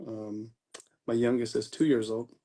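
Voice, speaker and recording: A man's medium-pitched voice at a moderate pace. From California, Sacramento area. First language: Filipino language. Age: 40s. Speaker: life insurance agent. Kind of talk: casual interview chat. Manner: halting, many fillers.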